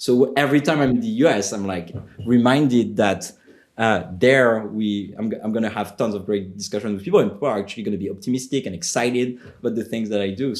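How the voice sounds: A man talks at a very fast pace with a French accent. His pitch varies in an ordinary way. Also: medium pitch for a man.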